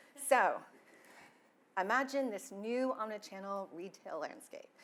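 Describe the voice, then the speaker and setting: Lively intonation marks this woman's fairly high voice, which carries a Texas accent. She talks at a fairly slow pace with long, frequent pauses. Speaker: IT security and compliance officer. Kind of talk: conference talk.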